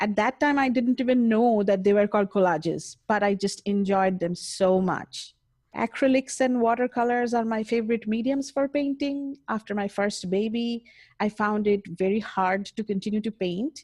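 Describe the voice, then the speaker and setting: A woman with an Indian accent and a fairly high voice talks at a moderate pace with ordinary pitch variation, the sound dry and close with no echo against a quiet background. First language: Indian language. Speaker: mixed media artist. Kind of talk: interview.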